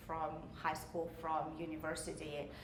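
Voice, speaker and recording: A woman speaks with a Russian accent. Audible room echo and noticeable background noise fill the recording. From Russia, Saint Petersburg. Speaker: realtor and business owner. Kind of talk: interview. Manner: hesitant, many filler sounds.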